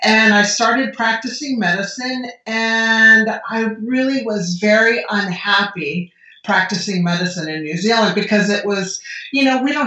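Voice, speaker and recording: In an American accent, a woman talks at a moderate pace with ordinary pitch variation, and audible room echo fills the recording. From United States. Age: 60s. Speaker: medical doctor. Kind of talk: podcast interview.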